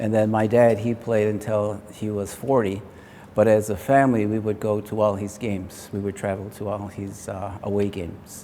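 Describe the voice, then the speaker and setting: In an American accent, a man talks at a moderate pace in a dark, mellow tone, his fairly low pitch flat and monotone, with audible room echo. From upstate New York, Onondaga Nation near Syracuse. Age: 60s. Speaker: retired lacrosse player. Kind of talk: interview.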